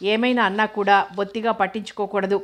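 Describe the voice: This is plain reading aloud. The clip is delivered as plain reading aloud.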